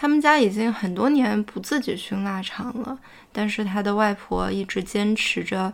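A woman speaks at a moderate pace and medium pitch in an unremarkable speaking voice, captured in a very clean recording with a silent background. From Fuzhou, China. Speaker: podcast host. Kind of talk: casual chat.

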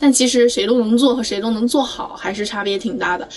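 A woman talks at a fairly quick pace in a fairly high pitch with ordinary pitch variation. Noticeable background noise is audible. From Anhui, China. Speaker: job-seeking graduate. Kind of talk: casual chat.

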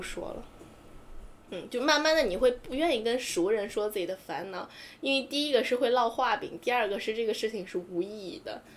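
A plain, everyday voice from a woman, fairly quick in pace, with lively intonation. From small Chinese city. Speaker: podcast co-host. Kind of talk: casual chat.

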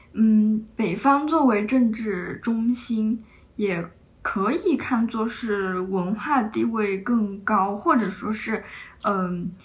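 A woman talks at a very slow pace in a somewhat breathy voice. Her pitch is fairly high, with ordinary variation. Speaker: podcast host. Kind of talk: casual chat.

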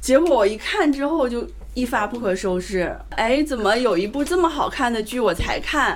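A woman's high-pitched voice with lively intonation at a moderate pace, plus noticeable background noise. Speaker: event host. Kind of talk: casual live event chat. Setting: live event with audience.

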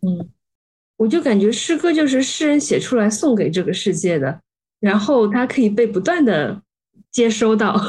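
A woman with a fairly high pitch and a somewhat breathy voice speaks at a moderate pace, her pitch swinging very widely. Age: young. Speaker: podcast host. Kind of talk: interview.

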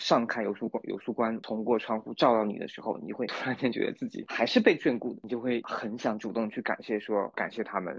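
With hardly any pauses, a man talks at a fairly quick pace, with a medium pitch and fairly even intonation. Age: middle-aged. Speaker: new-energy car marketing manager, former theatre writer. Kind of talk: casual chat. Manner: halting, repeats words.

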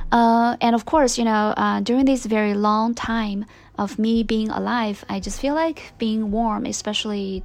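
A woman speaks at a moderate pace with a Chinese accent. Her pitch is fairly high and her intonation fairly even. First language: Mandarin Chinese. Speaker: podcast host. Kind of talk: casual monologue. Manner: hesitant, many fillers.

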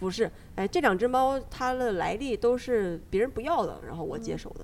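A woman speaks at a fairly quick pace. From Northeast China. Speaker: podcast host. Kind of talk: casual chat; podcast outro.

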